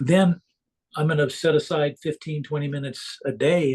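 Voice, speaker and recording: The man's voice has a somewhat breathy quality. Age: 60s. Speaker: coaching client. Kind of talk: casual chat. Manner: halting.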